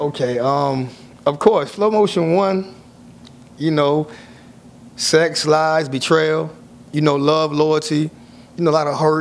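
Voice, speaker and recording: Speech comes at a medium tempo, its pitch rising and falling normally. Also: man. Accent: American. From South Florida (Miami). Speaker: author, former prisoner. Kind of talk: interview.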